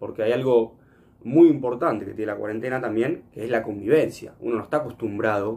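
A man with an ordinary speaking voice, medium pitch and ordinary pitch variation. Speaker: radio host. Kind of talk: casual chat; scripted segment presentation. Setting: remote from home.

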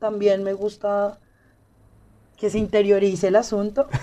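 Over music in the background, a woman with a fairly high pitch speaks at a fairly slow pace. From Colombia, Bogotá. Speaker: podcast guest. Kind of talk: casual chat.

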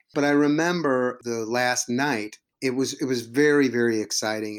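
A man with fairly even intonation. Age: 50s. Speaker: improv teacher and comedian. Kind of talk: casual interview. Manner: halting, with many repeated words.

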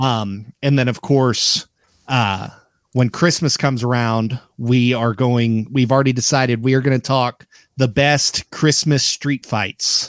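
Speaking at a fairly slow pace, a man with a plain, everyday voice keeps a medium pitch, fairly even intonation and very even loudness, the sound dry and close with no echo. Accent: American. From Oklahoma. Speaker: wrestling podcast host. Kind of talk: casual chat.

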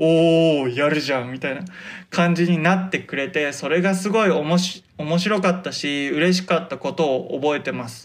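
Using ordinary pitch variation, a man talks at a fairly high pitch. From Hokkaido, Japan. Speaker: podcast host, model photographer and stage actor. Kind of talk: casual solo talk. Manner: slow, stumbling over words.

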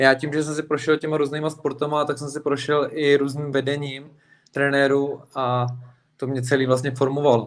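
Speaking at a moderate pace, a man uses a fairly high pitch and flat, monotone intonation. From Plzeň, Czech Republic. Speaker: MMA fighter. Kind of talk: casual interview.

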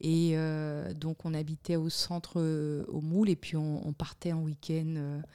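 A woman's very deep, low voice, dark and mellow in tone, flat and monotone, on a very clean recording with a silent background. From Guadeloupe. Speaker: communications entrepreneur and political show host. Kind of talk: interview.

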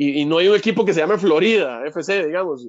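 High-pitched male voice at a very fast pace, with lively intonation and a dry, close sound with no echo. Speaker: football commentator guest. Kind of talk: casual chat.

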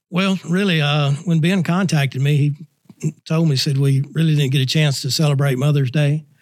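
Somewhat breathy and fairly high-pitched, a man speaks at a moderate pace. His intonation is fairly even and his loudness very even. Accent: Southern US. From Nashville, Tennessee. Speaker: state missionary and Sunday school director. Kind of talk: casual chat.

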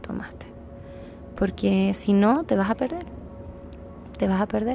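Over background music, a woman speaks at a moderate pace. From Chile. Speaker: psychologist sharing a healing experience. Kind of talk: interview testimony.

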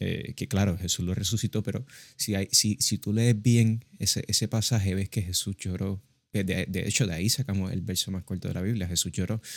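Recorded very cleanly with a silent background and a dry, close sound with no echo, a man with a fairly low pitch uses a normal speaking voice at a fairly quick pace with fairly even intonation. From Puerto Rico. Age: young. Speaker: podcast co-host. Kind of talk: casual religious discussion.

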